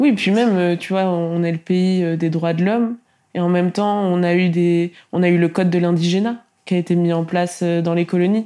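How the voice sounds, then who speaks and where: On a very clean recording with a silent background, a woman with a fairly low, dark and mellow voice speaks at a moderate pace with fairly even intonation and very even loudness. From France, Tours. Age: 20s. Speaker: content creator. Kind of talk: interview.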